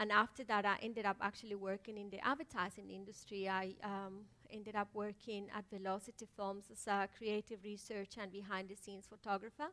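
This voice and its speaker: A woman of medium pitch speaks fairly quickly with a Spanish accent and hardly any pauses. Her tone is bright and sharp, and her intonation monotone and flat. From Colombia. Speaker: filmmaker. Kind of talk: panel talk. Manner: halting.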